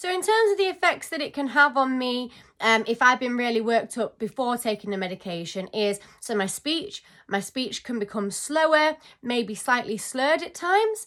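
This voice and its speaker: A woman's high, bright and sharp voice with a British accent, moderate pace and very wide pitch swings, on a very clean recording with a silent background. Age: 20s. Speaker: vlogger. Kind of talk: casual talk to camera.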